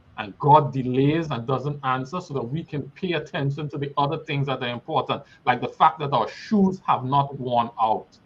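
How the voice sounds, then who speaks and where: A somewhat breathy voice with a Trinidadian accent, moderate pace and ordinary pitch variation. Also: man, fairly high pitch for a man. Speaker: guest speaker. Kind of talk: sermon-like exhortation.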